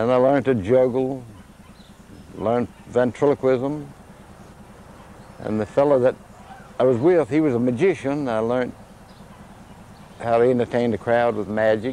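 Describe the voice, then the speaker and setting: With an Appalachian accent, a man of medium pitch talks at a moderate pace, with ordinary pitch variation and long, frequent pauses. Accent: Southern Appalachian American. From US South, Virginia mountains (Bedford area). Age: 70s. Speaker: chimpanzee sanctuary owner and former showman. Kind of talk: interview.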